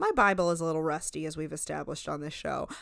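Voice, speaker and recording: This woman speaks with a New Jersey accent. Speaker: podcast co-host.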